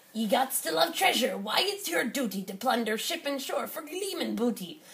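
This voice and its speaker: A put-on character voice, female-sounding and high-pitched, with very wide pitch swings at a moderate pace. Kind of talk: picture book read-aloud.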